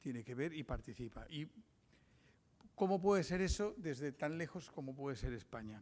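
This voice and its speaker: A man with a fairly high pitch talks at a moderate pace, leaving long, frequent pauses. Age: 60s. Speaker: journalist giving a lecture. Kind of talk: lecture. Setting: conference with audience. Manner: halting.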